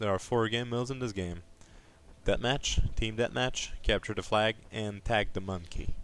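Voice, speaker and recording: A man with a non-native accent at a fairly slow pace and fairly even intonation, on a very clean recording with a silent background. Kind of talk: game explainer narration. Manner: quiet, low volume.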